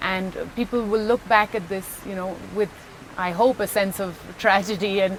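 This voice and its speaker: The woman's voice is medium-pitched and monotone, flat in intonation, moving at a moderate pace against noticeable background noise. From Pondicherry, India. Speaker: actress. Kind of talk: interview answer.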